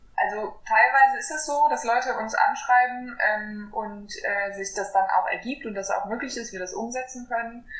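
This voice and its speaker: Noticeable background noise sits behind a high-voiced woman who talks at a moderate pace with hardly any pauses and big swings in loudness. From western Germany, near Koblenz. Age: 20s. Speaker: environmental activist. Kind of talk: interview.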